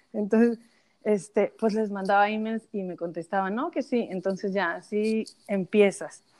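Speaking with a Mexican accent, a woman keeps a medium pitch, ordinary pitch variation and a moderate pace. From Mexico. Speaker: social media influencer. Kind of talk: interview.

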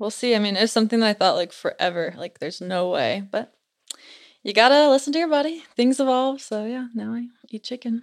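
A woman with an American accent uses an unremarkable speaking voice, fairly high in pitch, with lively intonation and a fairly quick pace. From Utah. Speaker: podcast guest, paranormal storyteller. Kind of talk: casual chat, storytelling. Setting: studio.

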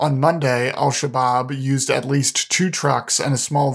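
Speaking at a fairly slow pace and medium pitch, a man has a plain, everyday voice, captured in a very clean recording with a silent background. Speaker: news podcast host. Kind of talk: formal newsreading, scripted headline summaries. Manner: formal, even, measured.

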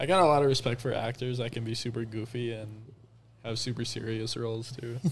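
A man with an American accent talks at a fairly quick pace and a medium pitch. His voice is somewhat breathy, with fairly even intonation. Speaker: Bible school admissions worker. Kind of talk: casual chat.

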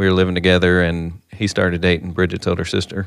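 A man with a Kentucky accent, very deep, low pitch and monotone, flat intonation, at a fairly quick pace. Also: quiet background. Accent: Kentucky Southern. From western Kentucky. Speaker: bank executive. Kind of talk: casual chat. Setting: studio.

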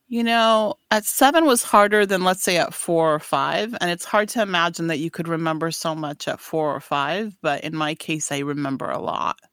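A woman uses a normal speaking voice, fairly low in pitch, with lively intonation. She keeps a moderate pace with hardly any pauses in a very clean recording with a silent background. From US, raised in Afghanistan, Paris, Washington state. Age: 40s. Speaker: boutique owner. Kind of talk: casual interview chat. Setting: studio.

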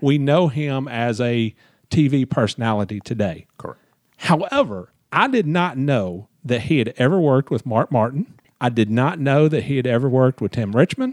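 A Southern US accent with ordinary pitch variation, in a dry, close sound with no echo. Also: man, medium pitch for a man, moderate pace. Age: 50s. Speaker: podcast host, motorsports journalist. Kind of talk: casual interview chat.

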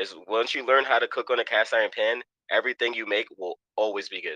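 A man with a New York accent at a fairly quick pace, dry and close with no echo, against a quiet background. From New York, Queens. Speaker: chef. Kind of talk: casual chat.

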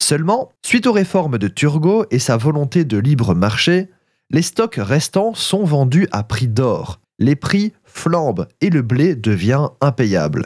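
In a very clean recording with a silent background and a dry, close sound with no echo, a man speaks very slowly at a fairly high pitch, his loudness very even while his pitch swings very widely. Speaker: food history podcaster. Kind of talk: scripted narration.

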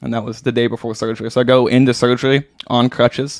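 Here a man talks with an American accent at a medium pitch. His intonation is monotone and flat. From US Midwest, Branson, Missouri. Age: 20s. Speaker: pro downhill skateboarder. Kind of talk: casual chat.

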